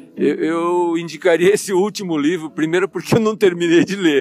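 This man's voice sits high in pitch with fairly even intonation. Noticeable background noise runs underneath. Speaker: financial consultant. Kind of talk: interview.

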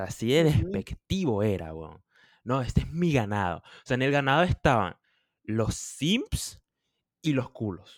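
In a very clean recording with a silent background and a dry, close sound with no echo, a man of medium pitch speaks at a fairly slow pace with a Venezuelan accent. His pitch swings very widely and his loudness shifts in big swings. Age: 20s. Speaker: podcast co-host. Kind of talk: casual chat.

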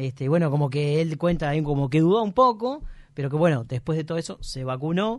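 A man with a fairly high voice speaks at a fairly quick pace, his intonation lively. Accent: Uruguayan. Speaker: radio comedy host. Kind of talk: casual radio chat.

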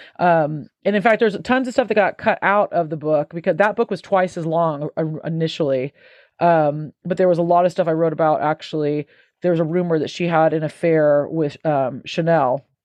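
A plain, everyday voice. A woman speaks at a moderate pace with a fairly low pitch and ordinary pitch variation. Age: 40s. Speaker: author and music professor. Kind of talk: casual interview.

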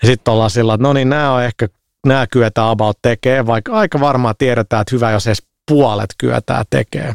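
Using a normal speaking voice, a man talks fairly quickly at medium pitch with ordinary pitch variation and very even loudness, in a dry, close sound with no echo. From Finland, Helsinki (Herttoniemi). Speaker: games industry entrepreneur. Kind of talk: casual chat.

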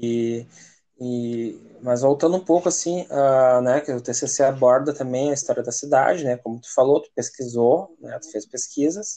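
A man's dark, mellow voice sits at a medium pitch. He moves at a fairly slow pace with ordinary pitch variation. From Parobé, Rio Grande do Sul, Brazil. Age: 30s. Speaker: podcast host. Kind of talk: casual interview.

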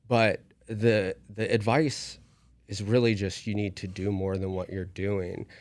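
An ordinary speaking voice with an American accent, a fairly slow pace and fairly even intonation. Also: man, fairly low pitch for a man. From West Virginia. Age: 30s. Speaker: university academic advisor. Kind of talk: casual interview.

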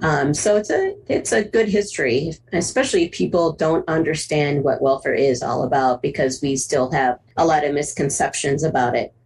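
American-accented speech with noticeable noise in the background. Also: woman, very deep, low pitch for a woman, ordinary pitch variation, moderate pace. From US Midwest, Cleveland, Ohio. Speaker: photographer and activist. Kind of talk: interview conversation.

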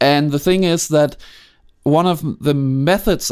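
The voice carries a Danish accent at a moderate pace. The recording is very clean, with a silent background. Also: man. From Denmark, Copenhagen. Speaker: film sound designer. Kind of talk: interview. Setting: home studio. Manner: halting.

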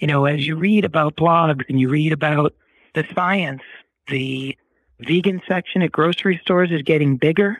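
A man talks at a moderate pace with an American accent. He has an unremarkable speaking voice at a fairly high pitch. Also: ordinary pitch variation. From US Northeast, Boston. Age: 50s. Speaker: former film industry dealmaker, cancer survivor. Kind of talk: interview, personal story.

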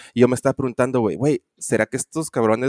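Heard with a dry, close sound and no echo, a man speaks in a medium pitch with ordinary pitch variation. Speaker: podcast co-host. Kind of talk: casual chat. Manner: halting, many fillers.

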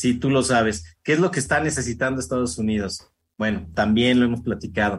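A man at medium pitch speaks at a fairly quick pace with lively intonation. His voice is somewhat breathy, with very even loudness. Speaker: radio host. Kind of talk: radio interview. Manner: fast.

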